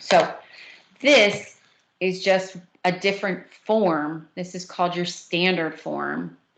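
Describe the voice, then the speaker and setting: There's vocal fry in this woman's fairly low voice, spoken with a New Jersey accent. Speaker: math teacher. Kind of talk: lecture.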